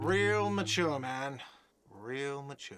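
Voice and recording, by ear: A man's whiny, put-on character voice at medium pitch.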